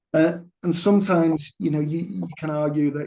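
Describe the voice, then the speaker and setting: With an English accent, a man has a dark, mellow tone and a fairly high pitch with ordinary pitch variation. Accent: English accent, still noticeable. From England. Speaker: construction cost estimator. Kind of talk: presentation at a town council meeting. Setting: remote, dialed in to meeting. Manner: hesitant, with fillers and repetitions.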